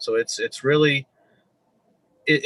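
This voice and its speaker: Recorded dry and close with no echo, a man with an American accent speaks in a bright, sharp tone. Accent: northern Midwestern, remarked on by locals. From Michigan (Flint), US Midwest. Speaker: police officer. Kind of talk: interview. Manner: halting, many fillers and repeats.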